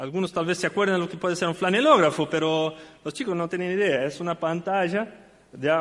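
Speaking at a high pitch and a fairly quick pace, a man keeps his intonation fairly even. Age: 50s. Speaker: church deacon and Sunday school teacher. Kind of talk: sermon.

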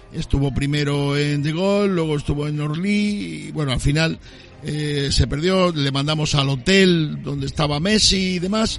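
Speaking fairly slowly with ordinary pitch variation, a man is heard amid noticeable background noise and audible room echo. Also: fairly high pitch for a man. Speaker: radio host. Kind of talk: casual chat. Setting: outdoors. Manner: animated.

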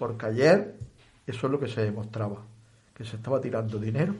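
A man speaks in a somewhat breathy voice. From Balerma, Almería, Spain. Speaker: retired teacher and activist. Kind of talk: radio interview. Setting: radio studio.

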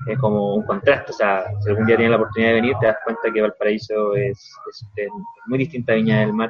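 A man with a Chilean accent speaks very fast in a medium, monotone voice with flat intonation over noticeable background noise. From Chile, Rancagua. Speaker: tour company owner. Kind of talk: interview.

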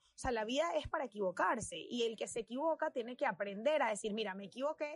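Here a woman talks with a Venezuelan accent and lively intonation. Her pitch is fairly high and her pace moderate. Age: 20s. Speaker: fashion designer. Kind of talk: casual chat.

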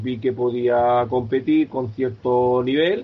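A man speaks with fairly even intonation in an unremarkable speaking voice. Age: 50s. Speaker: para-triathlete, pharmacy sales rep. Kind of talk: interview.

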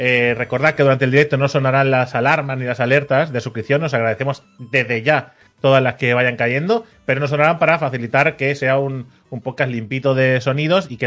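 A man talks in a normal speaking voice at a medium pitch. His intonation is fairly even, and he moves at a fairly quick pace with hardly any pauses. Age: 30s. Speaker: video game podcast host. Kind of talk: casual chat. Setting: live stream.

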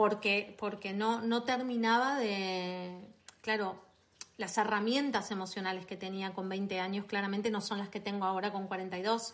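Her intonation is monotone and flat, at a medium pitch for a woman. She speaks at a fairly slow pace. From Argentina, Buenos Aires. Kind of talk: interview. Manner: hesitant, many fillers.

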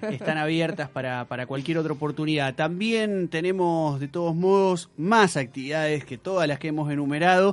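A man's ordinary speaking voice with a fairly high pitch and ordinary pitch variation, at a moderate pace with hardly any pauses, over a quiet background. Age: 30s. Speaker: radio host. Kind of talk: live radio talk show. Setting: radio studio.

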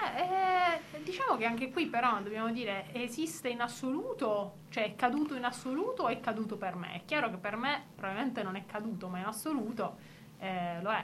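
Fairly high in pitch and with lively intonation, a woman talks at a fairly quick pace amid noticeable background noise and audible room echo. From Apulia, southern Italy (Bari). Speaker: radio co-host. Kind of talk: radio show chat.

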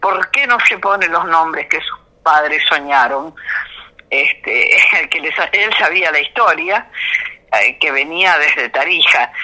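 There is noticeable background noise as a woman speaks at a medium pitch. She talks at a fairly slow pace with ordinary pitch variation. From Argentina, Mendoza (Cuyo). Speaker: folk singer. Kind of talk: interview.

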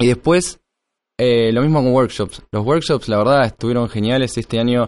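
In a normal speaking voice, a man of medium pitch talks at a moderate pace against a quiet background. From Argentina, Tres Arroyos (Buenos Aires province). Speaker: conference organizer. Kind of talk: interview conversation. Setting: live recording at a security conference.

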